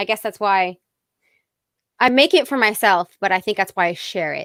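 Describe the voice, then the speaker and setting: Fairly quick and fairly high, a woman with an American accent talks in an unremarkable speaking voice with ordinary pitch variation. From Fairfield County, Connecticut. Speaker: singer-songwriter. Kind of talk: interview.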